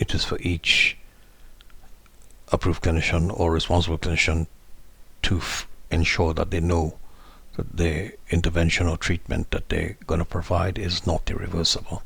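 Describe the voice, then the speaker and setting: Pausing long and often, a man talks in a very deep, low voice with monotone, flat intonation. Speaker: legal educator on mental health law. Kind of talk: tutorial. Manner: slow.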